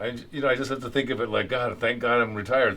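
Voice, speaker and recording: Audible room echo surrounds a man who talks at a fairly quick pace and a medium pitch. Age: 60s. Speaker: retired concert enthusiast. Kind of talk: documentary interview. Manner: halting.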